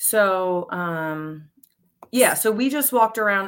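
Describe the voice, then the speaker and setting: A woman with a plain, everyday voice, medium pitch and an American accent, lively intonation, on a very clean recording with a silent background. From Pennsylvania, Montgomery County. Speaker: high school teacher and beekeeper. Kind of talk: casual chat.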